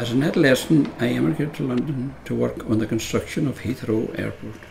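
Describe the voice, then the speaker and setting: Over noticeable background noise, a man with a Donegal accent talks at a fairly quick pace. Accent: Donegal Irish. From Ireland, Donegal. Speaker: narrator. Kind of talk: scripted narration.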